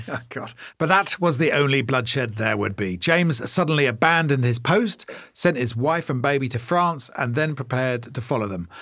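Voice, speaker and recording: On a very clean recording with a silent background, a man with a British accent speaks at medium pitch and a fairly quick pace, his tone bright and sharp and his intonation lively. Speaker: podcast co-host. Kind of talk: casual comedic banter with reading. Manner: fast talker.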